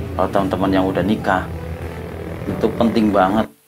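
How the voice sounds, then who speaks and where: A man talks with a strong Ngapak Javanese accent. His intonation is fairly even. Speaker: adventure YouTuber. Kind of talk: casual vlog talk to camera. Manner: casual, colloquial.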